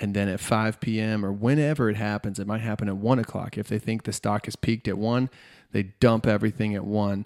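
A man with a normal speaking voice talks at a fairly quick pace in a fairly low pitch, with fairly even intonation, on a very clean recording with a silent background. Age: 30s. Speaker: podcast host. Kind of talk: casual interview. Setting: in-person, six feet apart.

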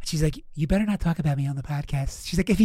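A man with an American accent talks at a very fast pace. His voice is high-pitched with ordinary pitch variation. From Philadelphia, US East Coast. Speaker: podcast host, comedian. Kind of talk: casual chat, podcast interview. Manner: casual, rambling, profane.

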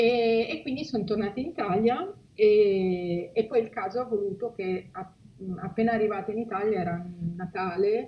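Noticeable background noise behind a woman at a medium pitch, moderate in pace and ordinary in pitch variation. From Liguria, Italy (Genoa area). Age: 40s. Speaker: humanitarian spokesperson. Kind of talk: interview.

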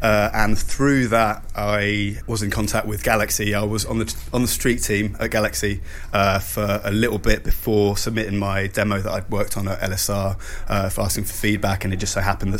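In a room with audible echo and noticeable background noise, a man talks at a moderate pace in a flat monotone, his pitch fairly low. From Switzerland, Lake Geneva. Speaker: radio imaging producer and composer. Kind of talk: interview. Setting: hotel, in person.

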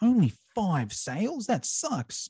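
With an Australian accent, a man speaks at a very slow pace, somewhat breathy and with very wide pitch swings, the sound dry and close with no echo over a quiet background. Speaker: fitness educator and business owner. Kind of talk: casual interview. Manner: animated.

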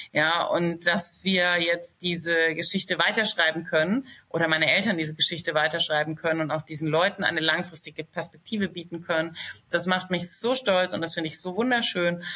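A woman's fairly low-pitched voice at a fairly quick pace with fairly even intonation. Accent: slight Franconian. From Lower Franconia, Germany (Schweinfurt area). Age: 30s. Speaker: company founder. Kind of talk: casual interview.

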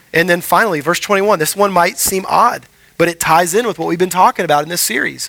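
A high-pitched man with an American accent, a bright, sharp tone and ordinary pitch variation. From Houston, Texas. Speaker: pastor. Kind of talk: sermon. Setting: church.

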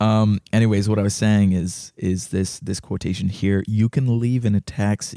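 A man with a fairly low pitch and a dark, mellow tone talks at a moderate pace, with hardly any pauses and fairly even intonation. The very clean recording has a silent background and a dry, close sound with no echo. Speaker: podcast co-host. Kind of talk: casual chat. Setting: studio with microphones.

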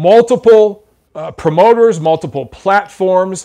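A man with a dark, mellow tone and lively intonation, fairly slow in pace, over a quiet background. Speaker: boxing YouTuber and commentator. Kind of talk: casual live-stream Q&A. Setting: home live video stream with microphone. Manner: blunt, profane, jokey.

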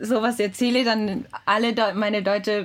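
A woman's fairly high voice with a Japanese accent, moderate pace and fairly even intonation, over noticeable background noise. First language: Japanese (speaking German). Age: 20s. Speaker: podcast co-host, translation company employee. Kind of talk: casual chat. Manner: halting.

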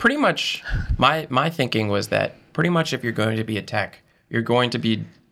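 A man at a fairly quick pace with vocal fry, a medium pitch and an American accent. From western Massachusetts, rural. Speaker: first-year PhD student. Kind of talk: casual interview.

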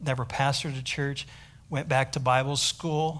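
Here is a man with an American accent and a plain, everyday voice. He keeps a moderate pace and fairly even intonation. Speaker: missionary pastor. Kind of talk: sermon. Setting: church.

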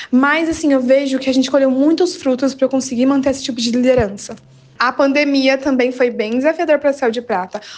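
A woman's high voice with fairly even intonation. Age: 20s. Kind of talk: interview.

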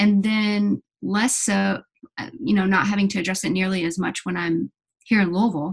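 The delivery is somewhat breathy, at a moderate pace with fairly even intonation. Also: woman, medium pitch for a woman. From Kentucky (Lexington). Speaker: hospital chaplain. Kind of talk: interview.

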